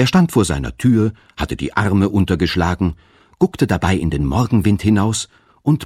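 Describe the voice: Lively intonation shapes this plain reading aloud.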